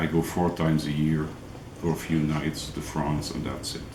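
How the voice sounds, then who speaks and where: The man's voice is very deep and low, with a non-native accent. Room echo can be heard around him. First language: not English. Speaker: angling vlogger. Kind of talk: tutorial. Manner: halting, many fillers.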